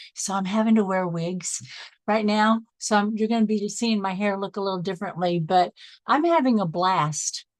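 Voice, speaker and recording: A woman with an American accent and a plain, everyday voice speaks at a medium pitch with ordinary pitch variation, recorded with a dry, close sound with no echo against a quiet background. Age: 60s. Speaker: life coach. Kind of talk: online training call.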